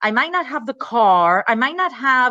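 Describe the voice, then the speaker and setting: The voice is bright and sharp, with a Miami accent. It moves at a fairly slow pace with very wide pitch swings. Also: woman. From Miami, Florida. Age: 40s. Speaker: novelist, former attorney. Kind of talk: interview.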